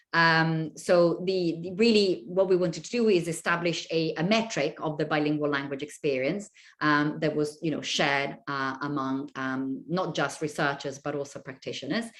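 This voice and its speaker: Woman's very deep, low voice with an Italian accent, ordinary pitch variation and a moderate pace with hardly any pauses, against a quiet background. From Italy. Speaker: university lecturer. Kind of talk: lecture. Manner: hesitant, many fillers.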